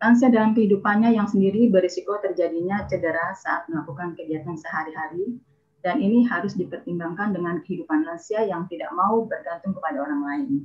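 A woman rattles along at a very fast pace. Her medium pitch shows ordinary variation. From Indonesia. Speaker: university dean; webinar presenter. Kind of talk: webinar presentation. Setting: video call. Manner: formal. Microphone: video call.

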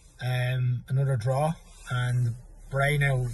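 In an Irish accent, a man speaks in a somewhat breathy voice, and the sound is dry with no echo. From Ireland. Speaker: football fan. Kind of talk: match review. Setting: in a car. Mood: disappointed, calm. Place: car. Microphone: phone near.

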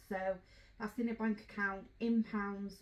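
Here a woman talks. She keeps to a moderate speed. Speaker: travel vlogger. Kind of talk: casual vlog chat. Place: home room. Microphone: camera far.

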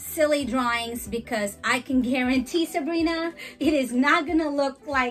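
Faint music plays in the background as a woman speaks at a high pitch and a fairly slow pace, with ordinary pitch variation. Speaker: teacher demonstrating an activity. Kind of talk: tutorial. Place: home room.

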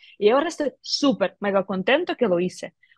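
Her pitch swings very widely as a woman speaks at a moderate pace, the sound dry with no echo against a quiet background. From Ukraine, Kyiv. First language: Ukrainian or Russian (speaking Spanish). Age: 30s. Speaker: tech entrepreneur; guest. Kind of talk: interview; interview answer. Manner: halting. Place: office. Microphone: video call.

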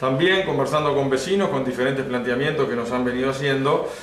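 Over light background noise and with audible room echo, a man speaks at a very fast pace. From Uruguay, Lavalleja department. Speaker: local government head. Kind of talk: interview. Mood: calm, serious. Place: office. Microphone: phone near.

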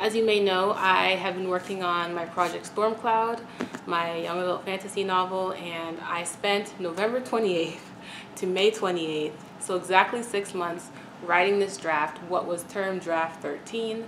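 A woman speaks at a fairly slow pace with fairly even intonation against noticeable background noise. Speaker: writer vlogger. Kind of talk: casual vlog chat. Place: home room. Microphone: camera far.

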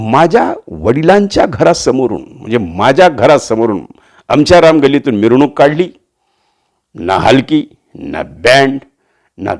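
This man speaks at a fairly high pitch. Vocal fry creeps into his voice. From Latur, Marathwada, Maharashtra. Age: 60s. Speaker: voice artist and political commentator. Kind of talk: monologue political commentary. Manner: animated.

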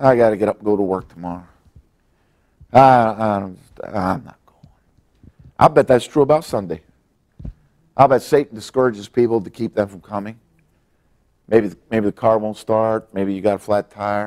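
With an animated tone and ordinary pitch variation, the speaker goes at a moderate pace over a quiet background, pausing long and often, with big swings in loudness. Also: man, fairly low pitch for a man. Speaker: pastor. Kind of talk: sermon; prayer meeting Bible lesson. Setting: church. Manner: animated, preacher in full flow, emphatic exclamations and repetition; folksy, conversational, halting with repeated words. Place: church. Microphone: lapel.

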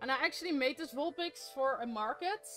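Music sounds in the background. Over it, a woman talks. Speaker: craft streamer. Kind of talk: casual live stream chat while crafting. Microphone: studio mic.

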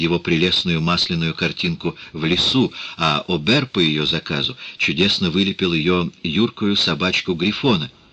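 A man speaks with a very deep, low pitch and very even loudness. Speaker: audiobook narrator. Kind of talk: reading aloud.

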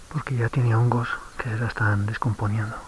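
A soft-spoken man talks at a moderate pace. The sound is dry with no echo, though background noise is noticeable. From Spain. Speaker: travel vlogger. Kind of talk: casual vlog narration. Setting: outdoors. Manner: animated; soft-spoken, hushed. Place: forest. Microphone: phone near.

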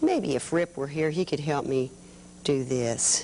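A woman with a very deep, low pitch speaks at a moderate pace with ordinary pitch variation, over light background noise. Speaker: children's TV craft host. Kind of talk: tutorial. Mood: warm, patient. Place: studio.

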